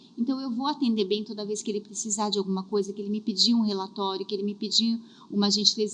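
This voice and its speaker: The clip carries noticeable background noise. A woman speaks fairly quickly. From southern Brazil. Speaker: career and HR specialist. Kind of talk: podcast interview.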